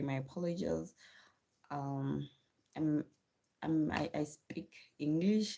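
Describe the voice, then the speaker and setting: A woman with a South African accent has a very deep, low pitch and a dark, mellow tone. Her pitch variation is ordinary. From South Africa, Venda region. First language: Tshivenda. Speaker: livestreamer and homeschooling mother. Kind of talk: casual live stream chat.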